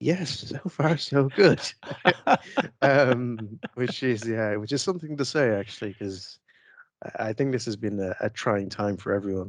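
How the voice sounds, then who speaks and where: A man with an Irish accent speaks at a fairly slow pace with lively intonation, his voice dry with no echo against a quiet background. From Ireland. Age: 40s. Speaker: IT expert and tool developer; interview guest. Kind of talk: interview. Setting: studio. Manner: hesitant, many fillers. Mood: relaxed, reflective. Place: home room. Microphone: headset.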